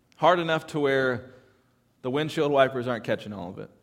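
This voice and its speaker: Recorded very cleanly with a silent background, a man with an American accent speaks at a medium pitch and a moderate pace with ordinary pitch variation. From California. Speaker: pastor. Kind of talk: sermon. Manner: halting.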